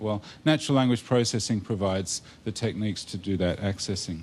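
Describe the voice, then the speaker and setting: A man's fairly low voice in an Australian accent, at a fairly quick pace with ordinary pitch variation. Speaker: computer science academic, conference presenter. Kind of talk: technical talk to a user group. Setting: live talk with audience.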